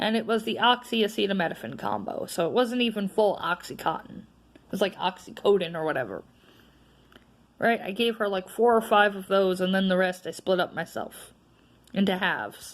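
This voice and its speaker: Speaking with an American accent at a fairly quick pace, a woman with a medium pitch, vocal fry and an animated tone shows ordinary pitch variation and big swings in loudness. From North Carolina. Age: 20s. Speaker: vlogger. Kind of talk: casual vlog monologue.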